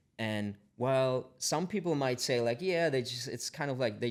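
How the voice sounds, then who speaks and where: Moderately paced speech from a man, captured very cleanly against silence. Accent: German. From Germany. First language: German. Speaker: tech company founder. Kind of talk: podcast interview. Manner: halting, many repetitions.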